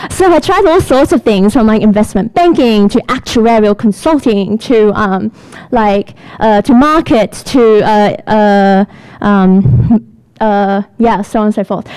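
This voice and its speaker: Over noticeable background noise, a woman talks at a fairly slow pace and a fairly high pitch, with lively intonation and very even loudness. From Australia, Sydney. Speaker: product manager. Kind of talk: lightning talk. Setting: stage with audience. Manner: animated.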